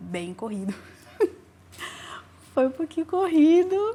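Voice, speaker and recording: This woman's pitch swings very widely. Her tone is dark and mellow. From Brazil, raised in a city. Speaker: singer. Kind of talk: interview.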